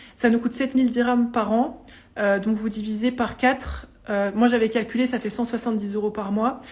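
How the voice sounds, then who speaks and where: A woman speaks with a fairly high pitch and monotone, flat intonation. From France, Vosges. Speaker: psychologist and coach. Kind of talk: live stream Q&A testimony. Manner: fast; hesitant, many fillers.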